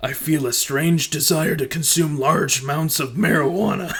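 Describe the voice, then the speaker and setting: A man's put-on character voice, raspy and fairly high in pitch, at a moderate pace. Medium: actual play.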